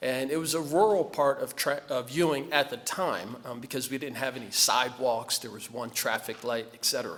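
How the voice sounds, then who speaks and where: Speaking fairly quickly with a New Jersey accent, a man uses a medium pitch and ordinary pitch variation. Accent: New Jersey American. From New Jersey (Trenton area). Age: 50s. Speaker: award honoree, community leader. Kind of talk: acceptance speech.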